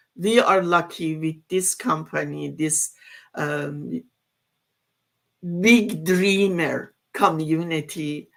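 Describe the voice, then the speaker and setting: With a non-native accent, a woman talks in a fairly low pitch and fairly even intonation. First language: not English. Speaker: online business community member. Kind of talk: casual group discussion. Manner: halting.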